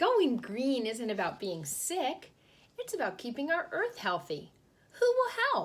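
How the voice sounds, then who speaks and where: A woman puts on a character voice with a warm tone and high pitch. Her pace is fairly slow. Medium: read story. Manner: warm, encouraging.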